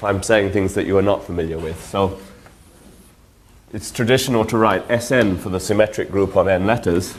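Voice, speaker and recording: The pitch variation is ordinary. Audible room echo surrounds the voice. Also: man. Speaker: mathematics lecturer. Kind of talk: lecture. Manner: halting, many fillers.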